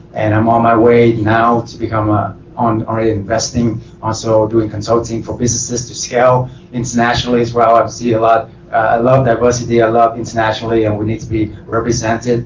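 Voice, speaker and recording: Over noticeable background noise, a man talks at a medium pitch and fairly quick pace, hardly pausing, with flat, monotone intonation. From Vietnam. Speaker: real estate entrepreneur. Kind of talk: panel self-introduction.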